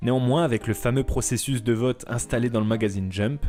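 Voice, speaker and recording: A man is speaking. Music plays in the background. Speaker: manga and anime video essayist. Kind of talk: documentary narration.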